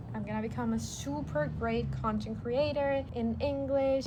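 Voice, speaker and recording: Amid noticeable background noise and audible room echo, a woman's voice moves through very wide pitch swings. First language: not English. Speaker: vlogger. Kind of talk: personal vlog.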